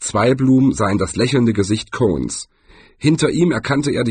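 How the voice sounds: The voice heard is a natural reading voice.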